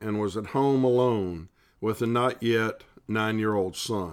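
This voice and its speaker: In a very clean recording with a silent background, a man with a Southern US accent speaks at a fairly slow pace, medium in pitch with ordinary pitch variation. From US South, South Carolina (Columbia). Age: 60s. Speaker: lay Bible study leader. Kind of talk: devotional Bible study reflection.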